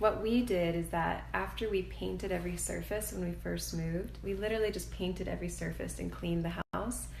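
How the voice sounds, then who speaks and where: Noticeable background noise and audible room echo surround a woman who speaks at a fairly quick pace. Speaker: homeowner giving a home tour. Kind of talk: casual home tour vlog. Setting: indoors at home, selfie video. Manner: halting, many fillers; whispering.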